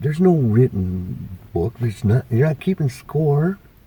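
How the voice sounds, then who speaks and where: This is a man talking. There is noticeable noise in the background. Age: 60s. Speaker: retiree interviewed about life. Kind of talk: casual interview. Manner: hesitant, many fillers.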